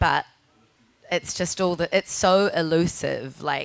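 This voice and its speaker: A woman talks in a strong New Zealand accent. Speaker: podcaster and writer. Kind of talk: panel discussion. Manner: deliberately slower; halting, many fillers.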